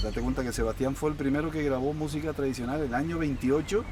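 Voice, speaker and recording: A man is heard. He speaks with a fairly high pitch. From Canary Islands, Tenerife. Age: 50s. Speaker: folk musician. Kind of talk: interview answer.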